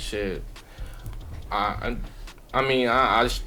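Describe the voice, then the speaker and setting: Someone speaks in a Baltimore accent with music in the background. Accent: Baltimore urban American English. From Mexico. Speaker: podcast host. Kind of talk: casual chat.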